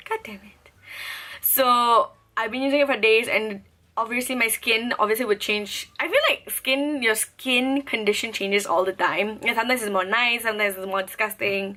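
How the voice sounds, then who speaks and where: With noticeable background noise around her, a woman speaks at a moderate pace in a fairly high pitch with fairly even intonation. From Singapore. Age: 20s. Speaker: beauty vlogger. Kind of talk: casual product review vlog.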